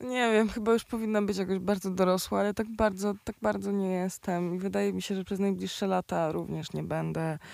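A woman talking at a fairly quick pace, with hardly any pauses. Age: 20s. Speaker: rapper. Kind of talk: casual chat.

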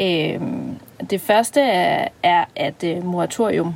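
Speaking at a very slow pace, a woman with vocal fry holds a medium pitch. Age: 30s. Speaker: podcast co-host, psychologist. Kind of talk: casual chat; scripted narration.

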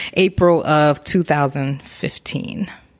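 The speaker has an American accent, heard over noticeable background noise. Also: woman. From Newark, New Jersey. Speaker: massage therapist. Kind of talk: interview. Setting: her massage shop.

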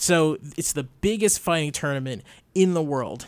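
An unremarkable speaking voice from a man, fairly high in pitch, fairly slow, with lively intonation. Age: young. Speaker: radio producer and co-host. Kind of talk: casual chat. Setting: studio.

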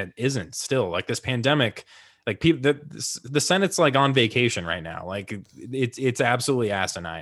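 In an American accent, a man talks at a moderate pace with an unremarkable speaking voice and ordinary pitch variation. The sound is dry and close with no echo, in a very clean recording over a silent background. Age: 20s. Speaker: political podcast host. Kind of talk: casual chat. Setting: live broadcast.

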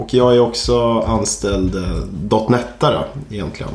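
A man is speaking. There is noticeable background noise and audible room echo. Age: 20s. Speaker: podcast co-host, junior software developer. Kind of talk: casual chat.

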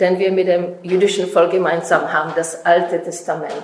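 A woman with a Czech accent speaks at a fairly slow pace amid noticeable background noise and audible room echo. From Czech Republic. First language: Czech (speaking German). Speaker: author and speaker. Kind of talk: lecture.

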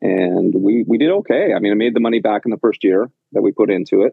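Here a man speaks with a Canadian accent. He goes at a fairly quick pace. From western Canada (Penticton, British Columbia). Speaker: bar owner. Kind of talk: interview. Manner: halting, many fillers and repetitions.

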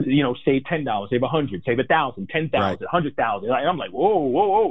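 A plain, everyday voice from a man, fairly high in pitch, at a fairly quick pace. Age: 40s. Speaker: financial advisor. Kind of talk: interview.

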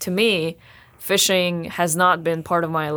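On a very clean recording with a silent background, a woman speaks at a fairly low pitch with fairly even intonation. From Russia, Sakhalin island. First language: Russian. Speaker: graduate student. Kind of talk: interview.

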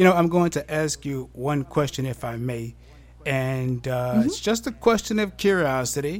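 A man's fairly high, ordinary speaking voice with lively intonation at a moderate pace. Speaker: podcast host. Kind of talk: interview.

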